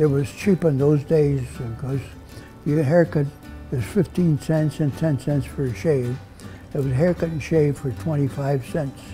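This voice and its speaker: With faint music behind him, a man talks at a fairly slow pace, his fairly high pitch showing ordinary variation. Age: 80s+. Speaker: barber. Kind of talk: interview answer. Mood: warm, reminiscing. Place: shop. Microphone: lapel.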